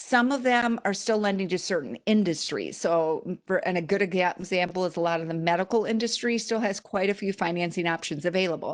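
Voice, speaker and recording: A woman speaks at a medium pitch and a fairly quick pace, with hardly any pauses. Her pitch variation is ordinary, and the background is quiet. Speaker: small business financing expert. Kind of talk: webinar presentation. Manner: fast.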